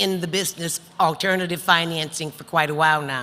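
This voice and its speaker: A woman with a fairly low voice and ordinary pitch variation speaks amid noticeable background noise. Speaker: panel moderator, business lender. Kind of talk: panel introduction. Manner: loud.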